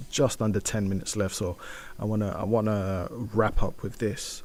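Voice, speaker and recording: A man with a British accent speaks at a moderate pace and with fairly even intonation in a very clean recording with a silent background. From UK, Nigerian heritage. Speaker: community radio host. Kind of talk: solo radio show, news and music chat. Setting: radio studio. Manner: casual, many fillers and restarts.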